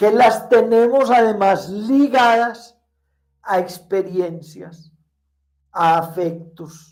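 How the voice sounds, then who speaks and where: A man speaks at a very slow pace, his high pitch showing ordinary variation. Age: 60s. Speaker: spiritual teacher. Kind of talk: conversational interview.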